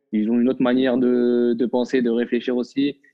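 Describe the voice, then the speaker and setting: A man's voice at medium pitch, moving at a moderate pace. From Morocco, Casablanca. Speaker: professional footballer. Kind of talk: casual chat. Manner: halting, many repetitions.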